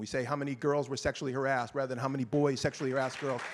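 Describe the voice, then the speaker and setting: A man with a Boston accent speaks at a very fast pace and a medium pitch. The recording is very clean, with a silent background. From Boston, US. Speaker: panelist, gender violence activist. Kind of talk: panel discussion. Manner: passionate.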